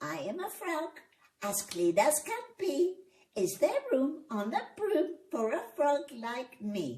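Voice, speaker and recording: A croaky, put-on character voice at a fairly slow pace, with very wide pitch swings. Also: woman, high pitch for a woman. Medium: read story.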